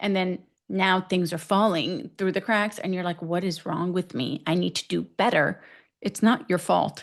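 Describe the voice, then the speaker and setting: Vocal fry runs through this woman's medium-pitched voice, in an American accent with fairly even intonation. The background is quiet. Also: moderate pace. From US West, Northern California. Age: 40s. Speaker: physician, menopause specialist. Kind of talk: podcast interview. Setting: podcast interview.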